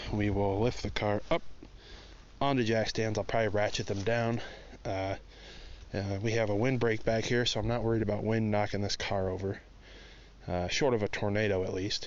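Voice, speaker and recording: With audible room echo, a man speaks at a fairly low pitch in a monotone, flat intonation. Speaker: car hobbyist vlogger. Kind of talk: casual walkaround vlog. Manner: loud; rambling, filler-heavy.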